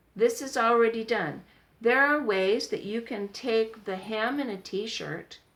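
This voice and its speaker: An unremarkable speaking voice: a woman with fairly high pitch, ordinary pitch variation and a fairly slow pace. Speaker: sewing tutorial vlogger. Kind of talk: tutorial. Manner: casual.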